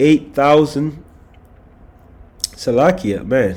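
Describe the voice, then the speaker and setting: A man speaking at a fairly slow pace over noticeable background noise. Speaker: religious commentator on news and prophecy. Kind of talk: scripture reading and commentary livestream. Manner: animated.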